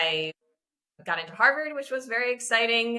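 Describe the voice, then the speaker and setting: A woman with an American accent speaks in a bright, sharp tone. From Japan, Tokyo (international school, American mother). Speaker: product marketing professional. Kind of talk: interview conversation.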